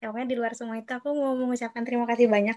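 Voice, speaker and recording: A woman's high voice, very cleanly recorded against a silent background, dry and close with no echo. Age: 20s. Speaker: student organization PR member, podcast host. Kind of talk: casual chat.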